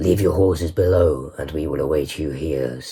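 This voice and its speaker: A man puts on a character voice, pitched very deep and low. His intonation is fairly even at a moderate pace, with light background noise. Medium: read story. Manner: authoritative, measured.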